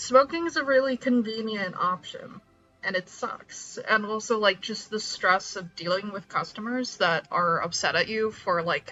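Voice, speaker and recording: A woman's fairly high voice with lively intonation at a moderate pace, over music in the background. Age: 30s. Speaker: streamer. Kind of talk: casual chat. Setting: live stream.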